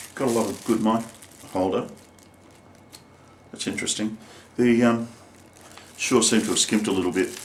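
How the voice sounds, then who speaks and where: With fairly even intonation, a man talks at a fairly quick pace broken by long, frequent pauses. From Australia. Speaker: singer-songwriter. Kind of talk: product review. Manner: casual, hesitant with fillers.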